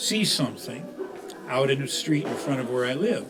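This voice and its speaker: Music plays in the background and the room echo is audible as a man with an American accent speaks at a fairly high pitch. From Chicago, US Midwest. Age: 80s+. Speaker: program member sharing memories. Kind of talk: personal reminiscence speech. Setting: birthday gathering at a center. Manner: halting, many filler uhs.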